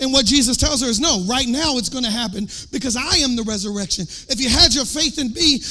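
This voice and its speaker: In an American accent, the speaker uses a raised, projected voice, an animated tone and lively intonation against noticeable background noise. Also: man. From US South. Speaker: worship leader and preacher. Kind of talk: sermon.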